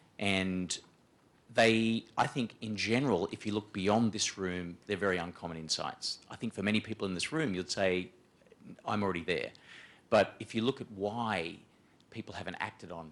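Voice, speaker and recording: A man talks with a strong Australian accent at a moderate pace. His pitch is fairly low, with ordinary variation. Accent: broad Australian. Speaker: management consultant, panelist. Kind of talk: panel discussion presentation. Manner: hesitant, many fillers and repetitions.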